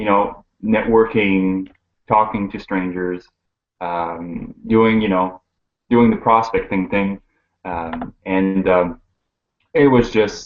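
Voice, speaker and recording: Talking with a French accent, a man keeps a fairly slow pace and fairly even intonation. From Quebec, Montreal. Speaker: network marketer. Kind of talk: casual interview. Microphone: horrible connection, cutting out.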